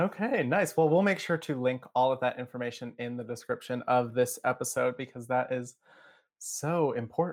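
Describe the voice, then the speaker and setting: A man speaks at a moderate pace with a medium pitch and ordinary pitch variation. He has a plain, everyday voice, in a very clean recording with a silent background. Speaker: podcast host. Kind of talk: casual interview.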